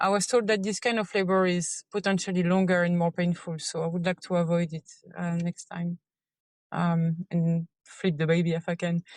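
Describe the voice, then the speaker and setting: Heard in a dry, close sound with no echo, the speaker has a French accent and a monotone, flat intonation. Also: woman, fairly low pitch for a woman, moderate pace. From France. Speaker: listener caller, mother. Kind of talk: recorded voice message question.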